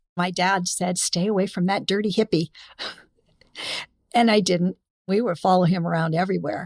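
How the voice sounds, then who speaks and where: With a Californian accent, this speaker keeps a moderate pace and fairly even intonation, taking long, frequent pauses in a dry, close sound with no echo. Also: woman, medium pitch for a woman. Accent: General American (Californian). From Los Angeles, California. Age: 70s. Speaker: former groupie and music business figure. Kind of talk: interview storytelling.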